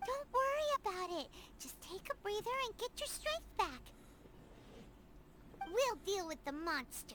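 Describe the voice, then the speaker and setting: A put-on character voice at an extremely high pitch, with very wide pitch swings, moves at a moderate pace with long, frequent pauses over clear background noise. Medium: video game. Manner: casual, friendly.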